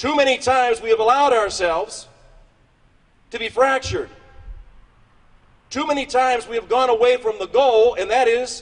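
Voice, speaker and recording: At a moderate pace broken by long, frequent pauses, a man with an American accent speaks at an extremely high pitch with ordinary pitch variation. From Western Pennsylvania. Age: 60s. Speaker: politician. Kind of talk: political speech.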